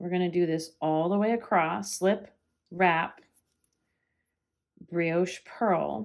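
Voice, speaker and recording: A woman talks at a very slow pace with a fairly low pitch. Her speech has long, frequent pauses. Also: ordinary pitch variation. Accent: American. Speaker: knitting teacher and yarn shop owner. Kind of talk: tutorial. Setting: at home.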